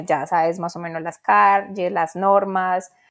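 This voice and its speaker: Moderately paced speech from a woman, medium in pitch, with fairly even intonation. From Colombia, Medellín. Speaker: podcast co-host. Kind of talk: casual chat.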